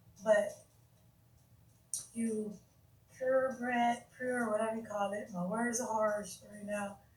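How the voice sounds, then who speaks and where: A woman speaks with a fairly high, somewhat breathy voice, monotone and flat. She goes at a very slow pace with long, frequent pauses, and there is audible room echo. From United States. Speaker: YouTube livestreamer discussing religion. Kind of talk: casual live stream talk. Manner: halting, stuttering.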